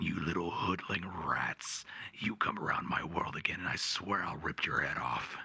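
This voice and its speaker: A man's put-on character voice, raspy and very deep, at a moderate pace. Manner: menacing, threatening.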